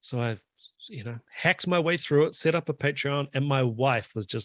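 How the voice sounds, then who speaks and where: A man's fairly high voice with a New Zealand accent at a fairly slow pace, dry and close with no echo. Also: very clean recording, silent background. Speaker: drummer and drum YouTuber. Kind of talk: casual chat.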